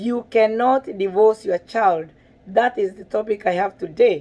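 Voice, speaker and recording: Speaking at a fairly slow pace with a Kenyan accent, a woman has a dark, mellow tone and a fairly high pitch. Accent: Kenyan (Kikuyu) English. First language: Kikuyu. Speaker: parenting vlogger. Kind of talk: video monologue.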